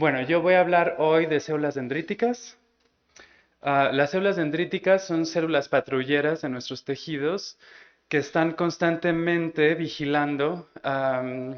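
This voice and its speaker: A man's fairly high voice at a fairly slow pace, with ordinary pitch variation. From Mexico. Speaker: immunologist. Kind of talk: scientific lecture. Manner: slow, halting with many repetitions.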